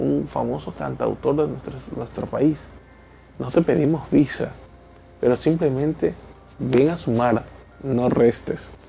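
Noticeable background noise accompanies a man who delivers his words fairly slowly. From Ecuador. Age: 30s. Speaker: teacher and podcaster. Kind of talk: solo podcast monologue.

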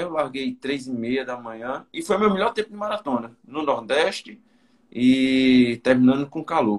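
The man speaks at a fairly slow pace. His pitch swings very widely. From Campina Grande, Paraíba, Brazil. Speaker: runner. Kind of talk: casual chat.

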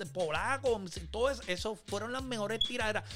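This man talks at a moderate pace in a Puerto Rican accent. His intonation is lively, with noticeable background noise. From Puerto Rico, Manatí. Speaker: podcast host. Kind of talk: casual chat. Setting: remote recording.

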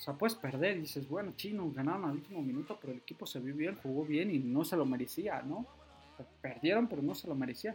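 A man's fairly high voice with lively intonation at a very fast pace. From Mexico City area. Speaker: football fan podcaster. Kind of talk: solo football commentary podcast. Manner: halting, many fillers.

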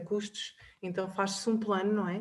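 Her voice is mid-range in pitch. This woman talks at a moderate speed. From Portugal, Covilhã. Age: 30s. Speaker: personal finance advisor. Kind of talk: interview.

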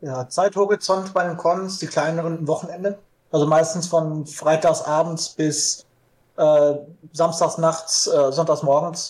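This man's voice sits high in pitch. He speaks fairly slowly, with fairly even intonation. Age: 20s. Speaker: LARP hobbyist. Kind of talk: casual interview.

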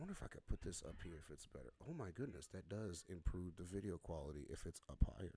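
Very fast and with hardly any pauses, the voice has a dark, mellow tone, lively intonation and vocal fry. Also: man, very deep, low pitch for a man. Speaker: podcast host and aspiring pastor. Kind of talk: casual chat.

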